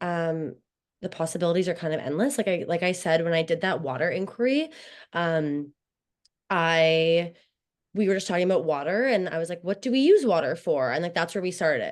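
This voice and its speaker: A woman speaks at a moderate pace with lively intonation and a fairly low pitch. The background is quiet. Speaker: teacher. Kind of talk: webinar Q&A. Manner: loud voice.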